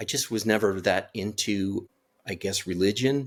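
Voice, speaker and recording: A man with an American accent, fairly low in pitch with ordinary pitch variation, at a fairly slow pace in a very clean recording with a silent background. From California. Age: 60s. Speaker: near-death experience survivor. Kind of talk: interview testimony. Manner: halting, many repetitions.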